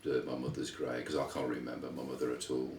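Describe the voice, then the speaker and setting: A man with a West Midlands accent talks in a room with audible echo. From England, Wolverhampton (West Midlands). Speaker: interviewee, son of Lithuanian immigrants. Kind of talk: interview, life story. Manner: halting, many fillers and repeats.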